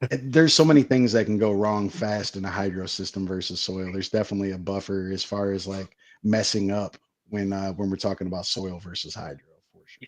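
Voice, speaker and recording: Speaking at a fairly quick pace, a man with a normal speaking voice and fairly low pitch shows ordinary pitch variation and big swings in loudness. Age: 30s. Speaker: grower and product company staff. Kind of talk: casual interview.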